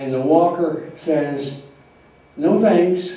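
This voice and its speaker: A man talks in a fairly high voice with an American accent and ordinary pitch variation. Room echo is audible, and background noise is noticeable. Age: 90s. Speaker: retired entrepreneur and lawyer giving a life-story talk. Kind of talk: speech to an audience. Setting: talk to a live audience. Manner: halting, many fillers.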